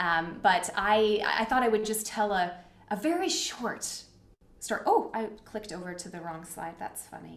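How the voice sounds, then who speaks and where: A woman with an ordinary speaking voice talks at a moderate pace and medium pitch. Her intonation is lively, with big swings in loudness. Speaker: workshop facilitator. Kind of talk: live online talk. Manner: upbeat, casual.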